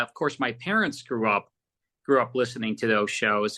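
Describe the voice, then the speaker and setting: A man's bright, sharp-toned voice at a moderate pace over a quiet background. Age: 60s. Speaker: radio host and audio producer. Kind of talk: interview conversation. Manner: halting, many fillers.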